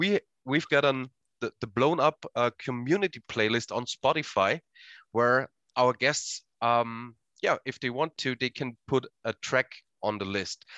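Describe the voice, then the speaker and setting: A man with a German accent, fairly high-pitched with a bright, sharp tone, at a fairly slow pace, in a dry, close sound with no echo against a quiet background. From Austria. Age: 30s. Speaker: podcast host and wrestling coach. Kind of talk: casual chat. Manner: halting.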